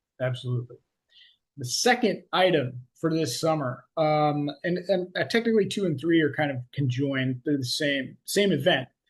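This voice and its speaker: A man with an American accent speaks at a moderate pace against a quiet background. His fairly high voice is somewhat breathy, with lively intonation. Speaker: podcast host and coach. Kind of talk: casual podcast chat. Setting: video call. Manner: high energy.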